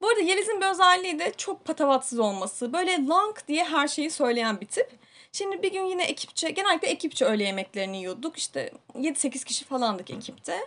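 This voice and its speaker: A woman's high-pitched voice at a fairly quick pace, with very wide pitch swings. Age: 30s. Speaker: podcast host. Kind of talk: casual chat. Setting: small home studio.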